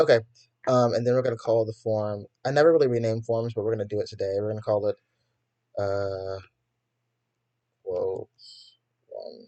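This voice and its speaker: Over a quiet background, a man at a medium pitch talks in a dark, mellow tone at a moderate pace, with fairly even intonation and long, frequent pauses. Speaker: coding tutorial youtuber. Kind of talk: tutorial. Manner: casual, hesitant with fillers.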